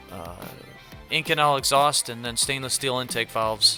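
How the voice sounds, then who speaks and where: A man's medium-pitched voice with fairly even intonation, music in the background. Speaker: hobby car builder. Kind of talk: casual build update narration. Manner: casual, halting.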